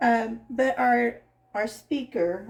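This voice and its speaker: A woman speaks with very wide pitch swings. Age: 60s. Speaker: vlogger and school teacher. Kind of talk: casual chat. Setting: home kitchen. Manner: rambling, hesitant with fillers.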